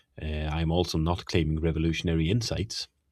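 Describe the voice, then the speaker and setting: A man's very deep, low, somewhat breathy voice with a slight Swedish accent, on a very clean recording with a silent background. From Sweden. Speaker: teacher and podcast host. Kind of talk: lecture-style monologue on theology. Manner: hesitant, frequent fillers.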